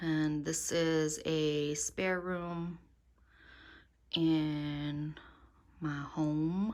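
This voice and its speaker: A woman whispers at a very slow pace. Long pauses come frequently. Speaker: fiber artist and illustrator. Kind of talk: casual studio tour vlog. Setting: home studio. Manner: hesitant, many fillers; whispering.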